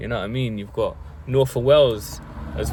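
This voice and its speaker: A man talks with a London accent. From South London. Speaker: vlogger. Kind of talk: casual monologue to camera. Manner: casual, with many fillers.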